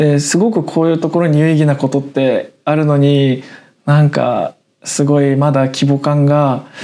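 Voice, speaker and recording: A man with a fairly high pitch and a dark, mellow tone speaks at a moderate pace, with very even loudness and fairly even intonation. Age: 20s. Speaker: web writer and podcast co-host. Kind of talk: casual chat.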